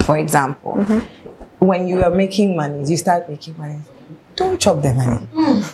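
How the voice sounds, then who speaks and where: A woman's fairly low voice with lively intonation at a moderate pace, over noticeable background noise. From Ghana, Accra. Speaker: fashion designer and brand founder. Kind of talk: casual interview chat.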